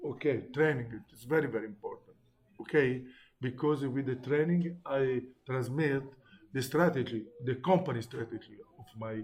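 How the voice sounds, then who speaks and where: This man speaks with an Italian accent at medium pitch, somewhat breathy, with ordinary pitch variation. His pace is moderate, and his loudness swings widely. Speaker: teacher. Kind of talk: lecture. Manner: halting.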